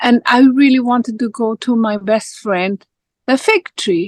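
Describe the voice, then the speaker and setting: A woman with a Spanish accent and a high voice, at a moderate pace, in a dry, close sound with no echo. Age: 60s. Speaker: life coach. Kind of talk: casual chat.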